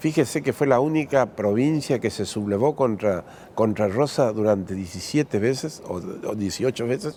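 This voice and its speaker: A man at medium pitch, moderate pace and lively intonation. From Argentina, Corrientes province. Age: 60s. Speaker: politician. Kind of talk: interview. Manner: halting.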